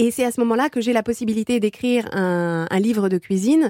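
A woman speaks at a fairly quick pace with a fairly high pitch, a dark, mellow tone and ordinary pitch variation. The sound is dry and close with no echo, in a very clean recording with a silent background. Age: 40s. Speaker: life coach and food writer. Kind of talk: interview testimony.

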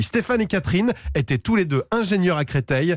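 Intonation is lively as the man rattles along at a very fast pace. Nothing intrudes from behind. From western France, Vendée. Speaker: radio humor columnist. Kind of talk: comic monologue. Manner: animated.

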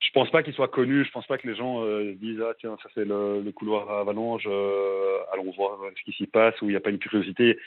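Fairly quick, fairly low-pitched male speech with fairly even intonation and hardly any pauses. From Belgium. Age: 20s. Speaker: radio caller. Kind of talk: testimony. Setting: phone call. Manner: halting. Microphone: clear line with slight delay.

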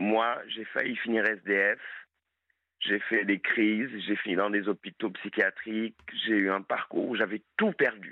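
Speaking very slowly, a man keeps a monotone, flat intonation at a fairly low pitch. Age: 20s. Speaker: caller, recovering alcoholic. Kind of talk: late-night radio call-in testimony. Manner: hesitant, many filler sounds.

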